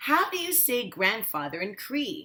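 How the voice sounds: A woman puts on a character voice, fairly high in pitch with big pitch swings. Her tone is bright and sharp with a slightly husky edge, and the pace is fairly slow.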